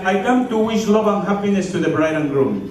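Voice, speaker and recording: A man talks in an animated tone at a moderate pace, his voice high. Audible room echo and noticeable background noise surround him. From Latin America (Mexico). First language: Spanish. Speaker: comedian and entertainer. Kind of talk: stand-up comedy at a wedding. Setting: wedding reception with microphone.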